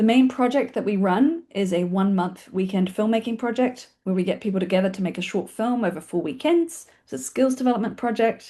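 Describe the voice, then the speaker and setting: In a New Zealand accent, a woman with a somewhat breathy, dark, mellow tone talks with lively intonation and hardly any pauses against a quiet background. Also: fairly high pitch for a woman. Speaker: filmmaking organisation founder and webinar host. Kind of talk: webinar introduction. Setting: video call webinar. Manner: fast; casual, with fillers.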